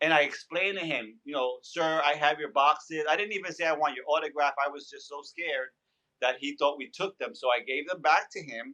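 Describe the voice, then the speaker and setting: Bright and sharp in tone, a man with a fairly high pitch speaks at a fairly quick pace with ordinary pitch variation and big swings in loudness. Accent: New York. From New York. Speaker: background actor and stand-up comedian. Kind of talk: interview storytelling. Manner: animated.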